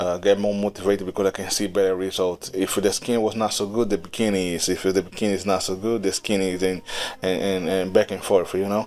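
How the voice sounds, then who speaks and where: Delivered at a very fast pace, a man's very deep, low voice with a non-native accent stays monotone and flat. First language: not English. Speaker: digital painting youtuber. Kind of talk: tutorial voice-over. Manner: halting, many fillers and repetitions.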